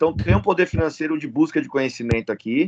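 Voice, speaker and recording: Very fast delivery from a man pitched fairly high, his pitch swinging very widely. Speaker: MMA fighter and jiu-jitsu instructor. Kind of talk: casual chat.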